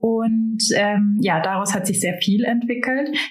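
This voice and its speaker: Noticeable background noise sits behind a woman's fairly high voice. She talks at a very slow pace with ordinary pitch variation. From Germany. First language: Albanian (speaking German). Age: 20s. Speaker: insurance broker and finance blogger. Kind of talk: interview.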